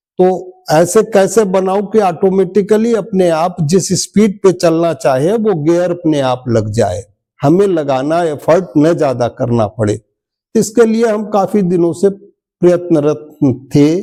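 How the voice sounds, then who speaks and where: Here is a man with a high pitch and lively intonation. His tone is dark and mellow. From eastern Uttar Pradesh, India (Gorakhpur). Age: 70s. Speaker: retired railway employee, spiritual practitioner. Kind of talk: testimony.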